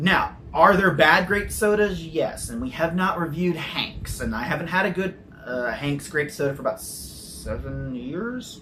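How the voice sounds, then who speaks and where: A man with an American accent speaks slowly, with a fairly high voice, lively intonation and hardly any pauses. Noticeable background noise and audible room echo are present. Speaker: soda reviewer. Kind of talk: casual review chat. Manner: animated.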